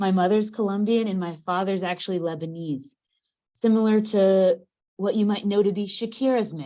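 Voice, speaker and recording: A woman speaks in an unremarkable speaking voice at medium pitch. Her pace is moderate and her pitch variation ordinary. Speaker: panelist, former exchange student. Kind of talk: panel discussion on video call.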